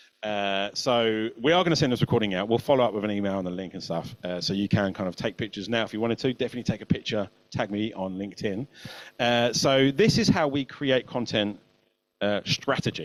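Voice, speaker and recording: A man speaking at a very fast pace with ordinary pitch variation. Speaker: marketing agency creative director. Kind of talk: webinar presentation.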